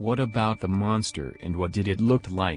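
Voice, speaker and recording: A man puts on a growling character voice, fairly low in pitch, at a moderate pace. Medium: machinima. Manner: nervous, eager.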